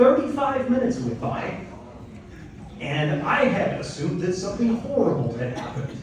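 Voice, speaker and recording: Through audible room echo and noticeable background noise, a man with an American accent speaks at a moderate pace in a high pitch with very wide pitch swings. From US Midwest, Elkhart, Indiana. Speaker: comedian. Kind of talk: stand-up. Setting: stage with audience.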